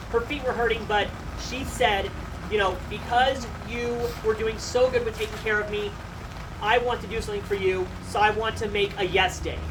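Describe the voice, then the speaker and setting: A moderate pace over noticeable background noise. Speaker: bereaved son or daughter giving eulogy. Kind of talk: eulogy. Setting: memorial gathering without microphone. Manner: loud.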